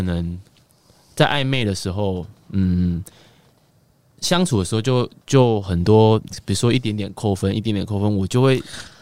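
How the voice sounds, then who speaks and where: The voice belongs to a man with a fairly low pitch. His tone is dark and mellow. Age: 20s. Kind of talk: casual chat. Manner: halting.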